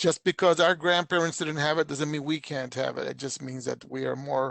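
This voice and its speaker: Over a quiet background, a man speaks fairly quickly in a monotone, flat intonation at a fairly high pitch, with a dry, close sound with no echo. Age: 60s. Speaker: community engagement manager hosting a webinar. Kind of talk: casual closing remarks in a webinar Q&A.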